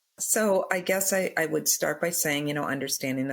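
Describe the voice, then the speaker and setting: Very clean audio over a silent background, with speech at a moderate pace. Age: 60s. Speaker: early childhood educator. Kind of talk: podcast interview.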